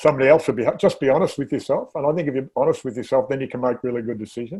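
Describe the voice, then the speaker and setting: With an Australian accent, a man speaks at a fairly high pitch in a dark, mellow tone, his pitch varying in an ordinary way. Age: 60s. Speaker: interview show host. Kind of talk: casual chat.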